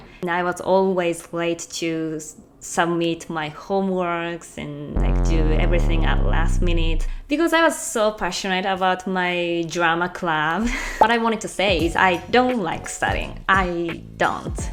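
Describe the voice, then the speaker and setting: Speaking at a fairly slow pace with a Japanese accent, a woman is heard over music in the background. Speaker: language-learning vlogger. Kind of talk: casual talk to camera.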